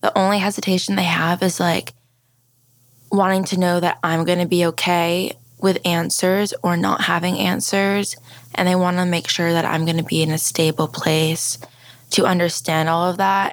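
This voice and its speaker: With an American accent, a woman of fairly low pitch talks at a moderate pace, her loudness very even and her intonation monotone and flat. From Maryland, US. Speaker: Guatemalan adoptee. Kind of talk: interview.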